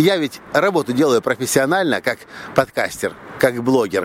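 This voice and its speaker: A man's voice comes through with a dry, close sound and no echo. There is noticeable background noise. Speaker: podcaster and video blogger. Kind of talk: solo vlog monologue.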